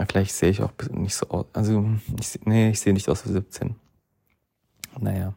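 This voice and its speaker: A man speaks with a fairly low pitch and a dark, mellow tone, somewhat breathy. Long, frequent pauses break up his speech, and the sound is dry and close with no echo. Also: moderate pace. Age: 20s. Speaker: podcast host. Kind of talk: casual monologue. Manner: hesitant, many fillers.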